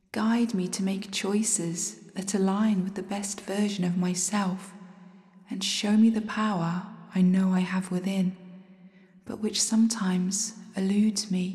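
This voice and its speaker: A woman talks at a fairly slow pace in a monotone, flat intonation. Noticeable background noise is present. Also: medium pitch for a woman. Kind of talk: fervent spoken prayer to the moon, intimate and devotional. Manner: earnest, reverent, pleading, slow and heartfelt.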